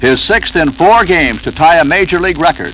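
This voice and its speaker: Noticeable background noise behind a man with a high pitch, lively intonation and a fairly quick pace. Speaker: sports broadcaster narrating a team's history. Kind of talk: documentary-style sports history narration. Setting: recorded 1971 record album, with crowd noise added.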